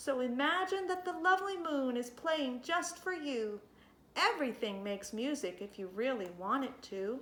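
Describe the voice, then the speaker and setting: A woman's high, put-on character voice with very wide pitch swings. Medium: read story. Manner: gentle.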